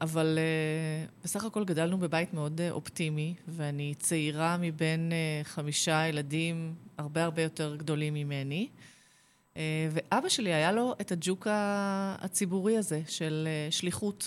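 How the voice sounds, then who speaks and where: A woman with an unremarkable speaking voice talks fairly slowly in a fairly low pitch, with ordinary pitch variation and very even loudness. The recording is very clean, with a silent background. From Israel, Kfar Saba. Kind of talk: radio interview.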